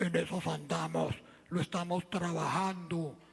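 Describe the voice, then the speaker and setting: In a put-on character voice, the speaker sounds raspy and hoarse at a middle pitch, moving at a fairly slow pace. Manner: angry.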